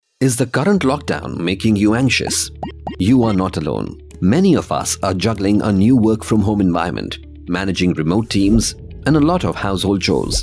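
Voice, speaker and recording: A man's fairly low voice at a moderate pace, lively in intonation, with music playing behind. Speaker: voice actor. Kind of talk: corporate narration.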